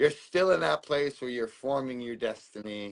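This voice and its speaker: This man has an unremarkable speaking voice, medium in pitch, with lively intonation. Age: 30s. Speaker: author and fundraiser. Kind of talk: livestream chat.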